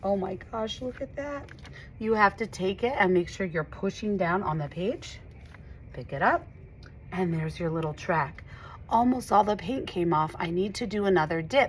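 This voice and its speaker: Her pitch is medium. This woman sounds somewhat breathy. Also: lively intonation, moderate pace. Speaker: art teacher. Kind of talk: tutorial. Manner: animated.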